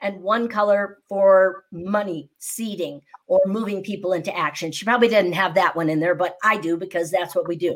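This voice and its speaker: With lively intonation and a moderate pace, a woman talks in an unremarkable speaking voice. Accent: American. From US Midwest, Naperville near Chicago. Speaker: speaking coach and entrepreneur. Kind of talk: podcast interview.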